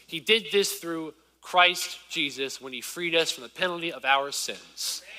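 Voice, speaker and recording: At a fairly slow pace, the speaker uses an American accent with big swings in loudness over noticeable background noise. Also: man, high pitch for a man, ordinary pitch variation. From US South, rural southern Virginia. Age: 20s. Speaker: preacher. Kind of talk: sermon. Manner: casual, conversational.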